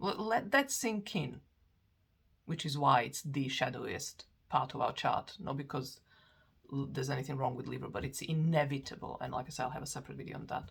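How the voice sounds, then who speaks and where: The speaker has a non-native accent and sounds somewhat breathy. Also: woman. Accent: foreign. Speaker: astrologer. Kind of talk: lecture. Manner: halting, many fillers and restarts.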